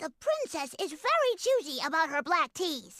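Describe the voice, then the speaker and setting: This put-on character voice is extremely high-pitched and moves at a moderate pace. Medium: video game. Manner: timid, nervous.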